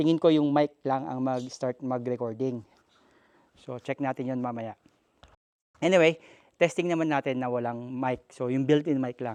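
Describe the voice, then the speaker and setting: A man's medium-pitched voice at a moderate pace, with fairly even intonation, long, frequent pauses, and a dry, close sound with no echo. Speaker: tech and moto vlogger. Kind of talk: product demo vlog. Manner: casual.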